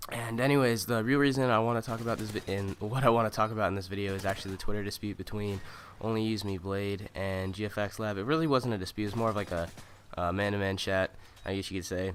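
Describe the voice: A man's fast, nasal delivery at a fairly low pitch with fairly even intonation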